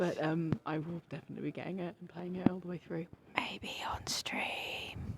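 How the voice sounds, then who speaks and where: Whispering with a British accent. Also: moderate pace. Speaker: gaming podcast co-host, streamer. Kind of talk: casual chat. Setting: live at a video game expo. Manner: whispering, quiet.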